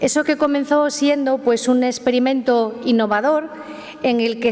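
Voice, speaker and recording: The speaker moves at a fairly quick pace with ordinary pitch variation, and noticeable background noise can be heard. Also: woman. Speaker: mayor. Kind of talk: formal welcome speech. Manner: halting.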